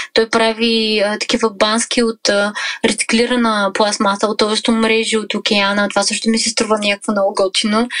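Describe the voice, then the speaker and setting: A woman's fairly high voice in a monotone, flat delivery, very even in loudness at a moderate pace, dry and close with no echo against noticeable background noise. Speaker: travel blogger and mother. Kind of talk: interview. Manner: hesitant, many fillers.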